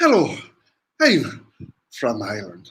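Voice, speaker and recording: A man's put-on character voice, raspy and medium in pitch, with audible echo. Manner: lilting.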